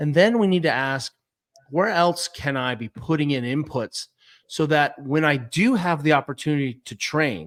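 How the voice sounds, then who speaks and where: A man with an American accent talks at a moderate pace in a plain, everyday voice, fairly high in pitch with lively intonation. The sound is dry and close with no echo. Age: 50s. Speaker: physical therapist and fitness coach. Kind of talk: casual interview.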